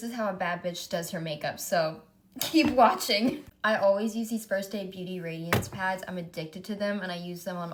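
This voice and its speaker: Over noticeable background noise, a woman speaks at a medium pitch and moderate pace with ordinary pitch variation. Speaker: beauty influencer, makeup artist. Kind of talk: makeup tutorial. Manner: casual, chatty.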